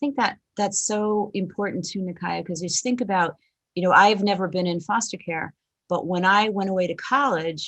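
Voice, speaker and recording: A woman at a moderate pace, an ordinary speaking voice, medium in pitch with ordinary pitch variation. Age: 60s. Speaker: panel moderator. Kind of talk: panel moderation.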